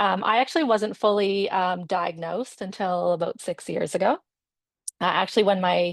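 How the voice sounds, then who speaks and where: The speaker talks in a Maritimes accent with ordinary pitch variation. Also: woman, medium pitch for a woman, moderate pace, quiet background. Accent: Canadian English (Maritimes). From Nova Scotia, Canada. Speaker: physiotherapist and patient panelist. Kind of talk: personal introduction on webinar panel. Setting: video webinar. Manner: hesitant, many filler words.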